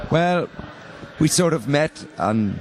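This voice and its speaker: A man with an Irish accent and very wide pitch swings, noticeable background noise. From Northern Ireland, near Enniskillen. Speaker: rock guitarist and band leader. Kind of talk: interview. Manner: halting, many fillers.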